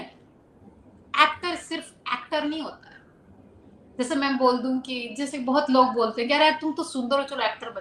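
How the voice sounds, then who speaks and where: At a moderate pace, a woman uses a raised, projected voice with a high pitch. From Rajasthan, Churu. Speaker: model and actress. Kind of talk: interview. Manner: casual, Hindi-English code-switching.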